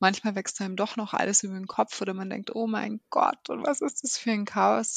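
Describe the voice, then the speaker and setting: In a dry, close recording with a quiet background, a woman talks at a medium pitch. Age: 30s. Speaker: working mother, process manager. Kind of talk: interview.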